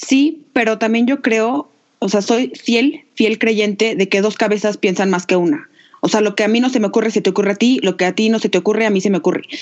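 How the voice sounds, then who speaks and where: A woman with an unremarkable speaking voice talks at a fairly quick pace and fairly high pitch. Her loudness stays very even, with ordinary pitch variation. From Mexico, Aguascalientes. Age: 20s. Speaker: podcast co-host, entrepreneur. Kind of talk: casual chat.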